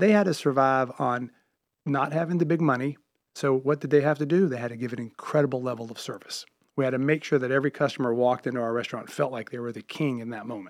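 Over a quiet background, a man of medium pitch speaks very fast with an American accent and ordinary pitch variation. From US South, Charlotte, North Carolina. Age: 50s. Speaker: restaurateur and comedy club owner. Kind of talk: radio interview.

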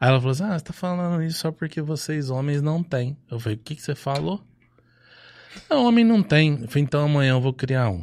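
A man with a São Paulo interior accent talks fairly quickly at a fairly high pitch, with very wide pitch swings and long, frequent pauses, in a very clean recording with a silent background. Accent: Franca (São Paulo interior). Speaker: advertising and political marketing agency owner, volunteer group founder. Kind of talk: casual chat.

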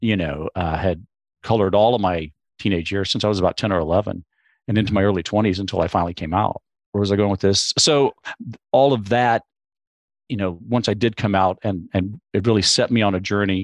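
A man's plain, everyday voice with an American accent, fairly low pitch, ordinary pitch variation and a fairly quick pace, in dry, close sound with no echo and a quiet background. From Texas, Corpus Christi. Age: 60s. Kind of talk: casual chat.

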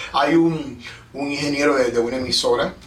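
A man talks at a fairly slow pace with ordinary pitch variation. Audible room echo hangs around his voice. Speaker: podcast and radio host. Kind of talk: casual interview. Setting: studio.

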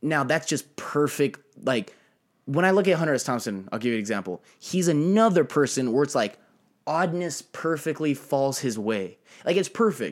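Moving at a moderate pace, a man with a fairly high pitch uses very wide pitch swings on a very clean recording with a silent background. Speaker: guest. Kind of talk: casual chat.

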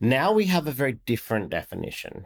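This voice carries an Australian accent. The background is silent and the recording very clean. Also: man. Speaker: podcast host and tech company executive. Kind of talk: podcast interview.

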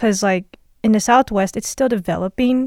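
In an ordinary speaking voice, a woman talks at a moderate pace with ordinary pitch variation, the sound dry and close with no echo on a very clean recording with a silent background. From Las Vegas (moved from Los Angeles at age 4 or 5). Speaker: podcast co-host, student. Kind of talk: casual chat.

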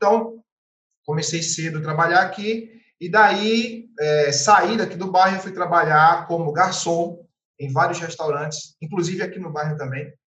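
A man's high voice at a fairly slow pace, with ordinary pitch variation, big swings in loudness and audible room echo. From Pernambuco, Brazil (Carpina, Recife). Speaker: real estate agent. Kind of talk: podcast interview. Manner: animated.

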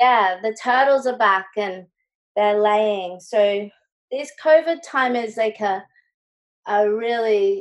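The speaker has an Australian accent and ordinary pitch variation. The pace is fairly slow. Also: woman. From Brisbane, Australia. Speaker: visual artist. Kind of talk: interview.

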